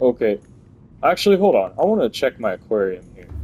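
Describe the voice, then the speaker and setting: Background music plays throughout. The man's pitch swings very widely. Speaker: gaming video creator. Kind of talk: let's play commentary. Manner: casual and chatty; stumbling over words.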